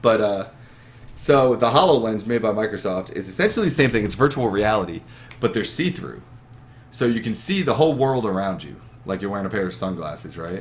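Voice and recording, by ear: The voice moves at a fairly quick pace with big pitch swings. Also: man, fairly low pitch for a man.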